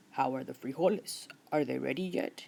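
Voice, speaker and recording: A rumbling, growling put-on character voice comes at a moderate pace and a low-to-middle pitch. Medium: read story. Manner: growling, grumbling.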